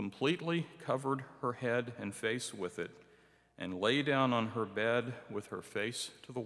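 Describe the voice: The voice is plain reading aloud, with ordinary pitch variation.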